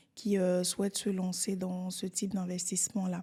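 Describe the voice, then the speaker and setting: A woman talks at a fairly slow pace with a medium pitch, in a dark, mellow tone that is somewhat breathy. The recording is very clean, with a silent background. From Côte d'Ivoire. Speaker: real estate entrepreneur. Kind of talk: podcast interview.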